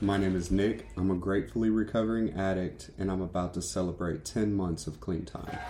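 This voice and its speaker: An American-accented man's very deep, low voice at a fairly quick pace, with fairly even intonation, hardly any pauses and noticeable background noise. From US Midwest, Decatur, Illinois. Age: 30s. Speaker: recovering addict. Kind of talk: testimony. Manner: halting, many fillers.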